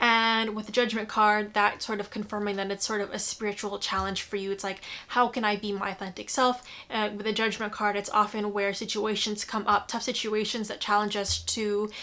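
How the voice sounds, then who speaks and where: A woman's bright, sharp voice, fairly high in pitch, monotone and flat, at a fairly quick pace. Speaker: tarot reader and astrologer. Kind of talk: intuitive tarot horoscope reading. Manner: fast; hesitant, many fillers.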